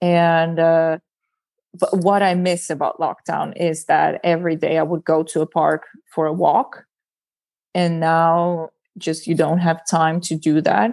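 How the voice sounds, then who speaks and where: With an Estonian accent, a woman at a fairly low pitch speaks at a fairly slow pace in a monotone with flat intonation and very even loudness, over a quiet background. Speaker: stand-up comedian. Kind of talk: casual chat.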